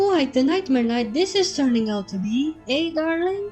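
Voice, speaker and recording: Clear music plays in the background as a female-sounding, put-on character voice speaks high and shrill. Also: moderate pace. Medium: read story. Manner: shrill, piercing.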